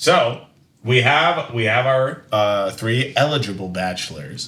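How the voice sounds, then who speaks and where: A man's medium-pitched voice at a very slow pace, lively in intonation, with audible room echo. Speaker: podcast co-host. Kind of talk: casual chat. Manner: loud; loud volume.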